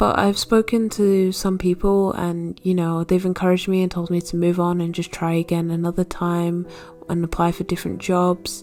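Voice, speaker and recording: A woman with a South Yorkshire accent speaks at a moderate pace in a fairly low pitch. Her intonation is monotone and flat, with noticeable background noise. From northern England, South Yorkshire. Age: 20s. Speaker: art student vlogger. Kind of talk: casual voiceover chat. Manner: casual, filler-heavy.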